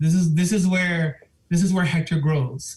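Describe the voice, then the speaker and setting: A man's voice, high in pitch. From Miami, Florida (Cuban and Puerto Rican family). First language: Spanish. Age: 50s. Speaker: school administrator. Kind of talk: public comment at a board meeting. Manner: halting, with many fillers.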